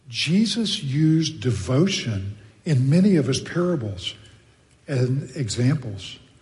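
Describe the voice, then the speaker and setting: Very slowly and somewhat breathily, a man with an American accent speaks at a medium pitch with very wide pitch swings, and the room echo is audible. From Texas. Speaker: pastor. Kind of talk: sermon.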